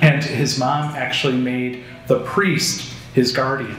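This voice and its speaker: A man at medium pitch with an American accent and fairly even intonation, amid noticeable background noise and audible room echo. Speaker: priest giving a parish talk. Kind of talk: lecture. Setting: parish hall with audience. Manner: casual, conversational.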